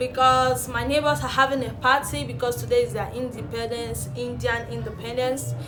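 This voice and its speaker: A woman talks at a moderate pace over background music, with audible room echo. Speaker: relationship vlogger. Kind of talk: casual vlog talk to camera.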